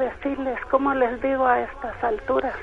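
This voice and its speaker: Against noticeable background noise, a woman with a high pitch speaks at a fairly slow pace. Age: 60s. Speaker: caller. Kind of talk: testimony. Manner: halting.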